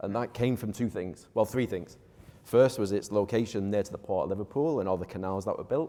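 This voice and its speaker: In a Manchester accent, a man speaks at a fairly quick pace with a fairly low pitch, a dark, mellow tone and ordinary pitch variation. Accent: Mancunian English, clearly noticeable. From northern England, Manchester. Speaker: real estate developer. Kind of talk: panel discussion.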